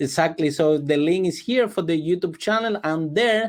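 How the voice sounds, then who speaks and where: Against a quiet background, a man with a non-native accent talks at a moderate pace, his pitch high and its variation ordinary. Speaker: public speaking coach. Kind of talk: interview.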